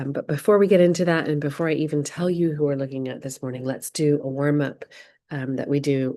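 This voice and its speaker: In an American accent, a woman speaks with a very deep, low pitch and a dark, mellow tone. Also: quiet background. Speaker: creative writing workshop leader. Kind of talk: online workshop instruction.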